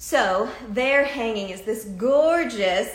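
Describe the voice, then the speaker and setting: Against noticeable background noise, a woman with an American accent speaks in an animated tone with lively intonation. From Massachusetts, US. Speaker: talk show host. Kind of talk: live video talk show interview. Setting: live video stream.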